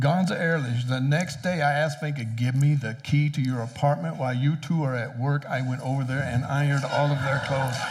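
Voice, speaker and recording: Over noticeable background noise and audible room echo, a man talks at a fairly quick pace with hardly any pauses, his fairly high pitch showing ordinary variation. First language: English (speaking German). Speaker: preacher. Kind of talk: sermon.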